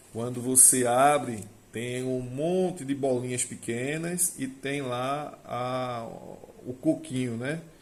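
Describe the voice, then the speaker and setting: A man's medium-pitched voice, fairly even in intonation, with audible room echo. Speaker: agricultural technician and vine grower. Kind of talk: casual monologue to camera.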